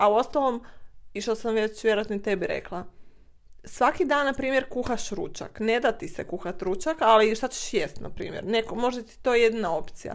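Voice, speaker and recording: With an ordinary speaking voice, a woman talks at a moderate pace and a fairly high pitch, her intonation lively and her loudness swinging widely, in a very clean recording with a silent background. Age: 20s. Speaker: guest, host's sister. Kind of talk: casual chat interview.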